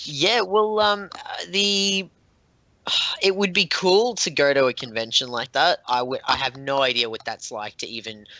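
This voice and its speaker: A man with an Australian accent at a fairly high pitch and moderate pace, with very wide pitch swings. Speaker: board game designer. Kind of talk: interview. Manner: halting, many fillers and restarts.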